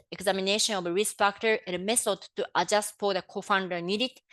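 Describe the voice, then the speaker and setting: Fairly quick speech with a non-native accent and fairly even intonation, in a dry, close sound with no echo and a quiet background. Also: woman. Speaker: public health official. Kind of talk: webinar presentation. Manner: halting, many fillers.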